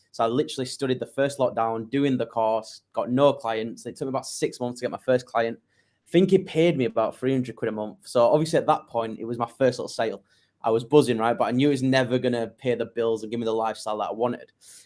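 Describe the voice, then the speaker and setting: A man at a very fast pace with a northern English accent, medium pitch and ordinary pitch variation, in a very clean recording with a silent background. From northern England, Leeds. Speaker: digital marketing agency owner. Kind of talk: interview.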